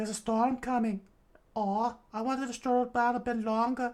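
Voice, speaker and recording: A put-on character voice with a fairly high pitch keeps a monotone, flat intonation at a moderate pace. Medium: read story.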